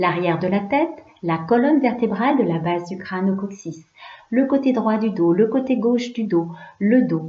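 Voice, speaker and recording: A normal speaking voice from a woman, medium in pitch, with lively intonation. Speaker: yoga nidra guide. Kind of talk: guided relaxation / yoga nidra. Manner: calm, slow, soothing.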